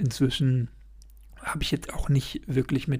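A man's voice with vocal fry and fairly even intonation. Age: 20s. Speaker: podcaster. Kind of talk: solo podcast monologue. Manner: rambling, filler-heavy.

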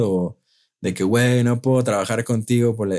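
A man's medium-pitched, dark and mellow voice at a moderate pace, on a very clean recording with a silent background. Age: 20s. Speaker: music producer. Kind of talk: casual chat.

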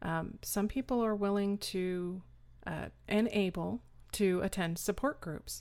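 A woman with an American accent uses a normal speaking voice at medium pitch, talking at a fairly slow pace with fairly even intonation on a very clean recording with a silent background. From Austin, Texas. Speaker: caregiver and author. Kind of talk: interview.

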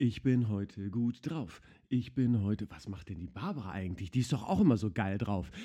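A man with a non-native accent speaks in a dark, mellow tone. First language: not German (speaking German). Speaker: podcast host. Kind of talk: casual chat. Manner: animated.

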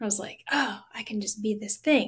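A woman talks at a fairly quick pace in an ordinary speaking voice. Her pitch is fairly high, with ordinary variation. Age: 30s. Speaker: singer and composer. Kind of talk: interview conversation.

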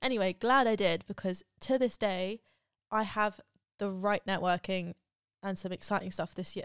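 The speech moves at a moderate pace with fairly even intonation, on a very clean recording with a silent background and a dry, close sound without echo. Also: woman, medium pitch for a woman. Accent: British. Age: 20s. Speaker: YouTuber and podcast host. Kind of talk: casual solo monologue.

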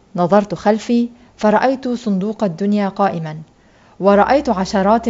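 Plain reading aloud makes up the recording.

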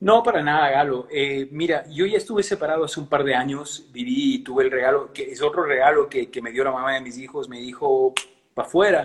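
An unremarkable speaking voice from a man, fairly quick in pace, with ordinary pitch variation and big swings in loudness. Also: fairly high pitch for a man. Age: 60s. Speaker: singer and musician. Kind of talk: interview.

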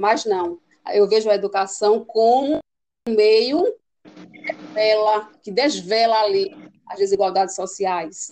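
This woman talks very slowly with a fairly high pitch, leaving long, frequent pauses. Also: ordinary pitch variation, big swings in loudness. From Northeast Brazil, Pernambuco. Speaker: teacher. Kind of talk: interview.

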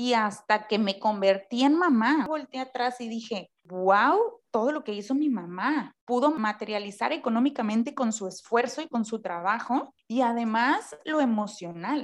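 A woman's unremarkable speaking voice, fairly high in pitch, with lively intonation, a fairly slow pace and hardly any pauses. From Mexico, Tampico (Tamaulipas). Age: 20s. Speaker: podcast co-host. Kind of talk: casual chat.

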